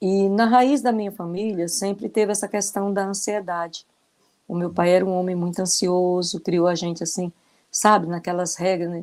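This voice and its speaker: A woman of medium pitch speaks at a moderate pace with fairly even intonation. Hers is an ordinary speaking voice on a very clean recording with a silent background. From Brazil, interior of Ceará (Northeast). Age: 60s. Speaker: retired teacher. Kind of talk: testimony.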